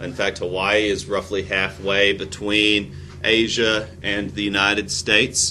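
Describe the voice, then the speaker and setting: The speaker has an American accent. Room echo is audible. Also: man. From US South, rural Tennessee. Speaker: history teacher. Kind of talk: lecture. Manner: halting, many fillers.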